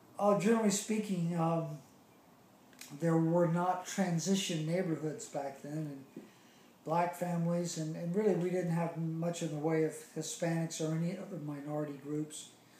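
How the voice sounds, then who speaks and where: Heard with audible room echo, a man with a Charleston accent talks at a moderate pace in a dark, mellow, high-pitched voice with fairly even intonation. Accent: Southern US (Charleston). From US South, Charleston, South Carolina. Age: 60s. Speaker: interviewee recalling childhood. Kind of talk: oral history interview. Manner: hesitant, many fillers.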